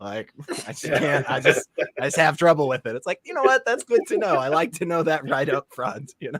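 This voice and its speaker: With a plain, everyday voice, a man talks fairly quickly at a fairly high pitch with lively intonation, in a dry, close sound with no echo. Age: 20s. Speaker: atheist show host. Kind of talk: casual chat.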